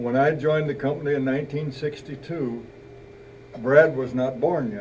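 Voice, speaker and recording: Room echo is audible as a man talks at a moderate pace. Noticeable background noise runs underneath. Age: 70s. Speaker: retired company elder, father. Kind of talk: retirement party speech. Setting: party with audience.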